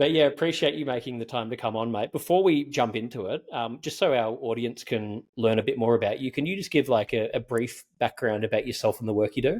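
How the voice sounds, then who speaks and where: Talking at a fairly quick pace with hardly any pauses, a man with a strong Australian accent uses a medium pitch and ordinary pitch variation. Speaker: podcast host. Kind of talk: interview. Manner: casual.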